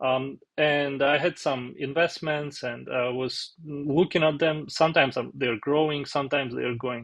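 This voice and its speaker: With a strong Russian accent, a man speaks at a moderate pace in a fairly high voice, with hardly any pauses. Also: fairly even intonation. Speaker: software developer, finance vlogger. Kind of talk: tutorial. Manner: halting, many fillers.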